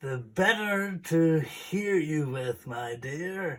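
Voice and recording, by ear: Using a put-on character voice, a man speaks at a very slow pace with a fairly high pitch.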